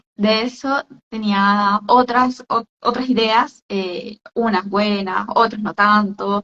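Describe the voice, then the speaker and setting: This woman's voice sits fairly high in pitch. She talks at a very slow pace. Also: fairly even intonation. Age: 20s. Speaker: entrepreneur, skincare business owner. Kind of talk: interview on a live stream. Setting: online live stream. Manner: hesitant, many fillers.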